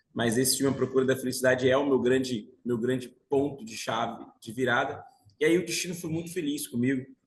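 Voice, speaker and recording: Somewhat breathy, a man talks at a fairly quick pace. His pitch is medium and his intonation fairly even. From Brazil, Bahia (Salvador). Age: 40s. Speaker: financial market professional. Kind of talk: interview, telling life story.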